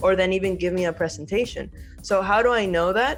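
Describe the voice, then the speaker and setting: Over music in the background, a woman speaks at a fairly low pitch with ordinary pitch variation. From Venezuela. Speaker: architect and university professor. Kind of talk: podcast interview answer. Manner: casual, conversational.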